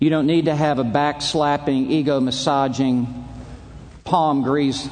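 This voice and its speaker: Fairly slow speech with long, frequent pauses, fairly even intonation, very even loudness and audible room echo. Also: man. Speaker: preacher. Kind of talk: sermon. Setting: stage with audience. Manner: formal.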